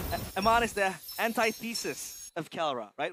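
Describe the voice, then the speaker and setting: A man is talking with normal pitch movement. Behind him, music can be heard. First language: not English. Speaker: esports caster. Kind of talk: live commentary. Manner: animated.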